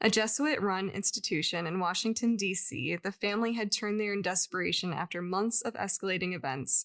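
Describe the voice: The voice reads aloud plainly. It is plain reading aloud.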